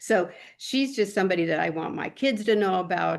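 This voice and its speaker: A voice with vocal fry moves at a fairly quick pace against a quiet background. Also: woman. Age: 60s. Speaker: sales director. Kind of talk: casual chat. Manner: animated.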